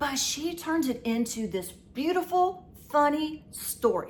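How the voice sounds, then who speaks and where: Animated in tone, a woman speaks with very wide pitch swings. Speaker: YouTuber. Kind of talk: casual vlog talk to viewers.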